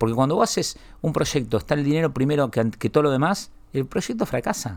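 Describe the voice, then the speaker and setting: In a very clean recording with a silent background, a man of medium pitch shows very wide pitch swings. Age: 40s. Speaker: media entrepreneur. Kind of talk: interview. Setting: studio.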